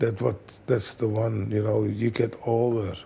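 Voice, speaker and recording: Dark and mellow in tone, a somewhat breathy man speaks at a moderate pace and medium pitch, his intonation monotone and flat. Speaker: kickboxing trainer. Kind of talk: interview.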